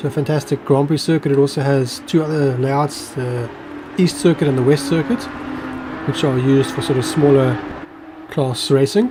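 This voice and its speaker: A man talks fairly quickly at a fairly high pitch, with ordinary pitch variation and noticeable background noise. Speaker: sim racing commentator. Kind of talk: live commentary. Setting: live stream.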